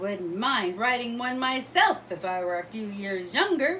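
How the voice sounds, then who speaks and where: A female-sounding put-on character voice with a fairly high pitch moves at a moderate pace. Clear background noise runs underneath. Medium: read story. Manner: blunt, tactless.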